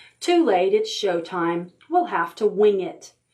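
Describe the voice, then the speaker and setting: Using a put-on character voice, a woman speaks at a fairly slow pace with a medium pitch. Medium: read story.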